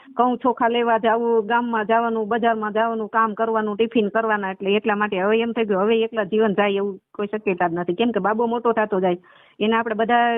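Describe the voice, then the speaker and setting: A woman's fairly high voice, monotone and flat in intonation, at a very even loudness. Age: 40s. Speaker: caller seeking remarriage. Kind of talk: phone conversation. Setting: phone call.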